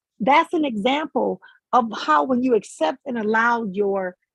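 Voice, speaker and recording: A woman's high-pitched voice, dry and close with no echo, over background music. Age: 50s. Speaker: spiritual life coach. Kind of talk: motivational talk.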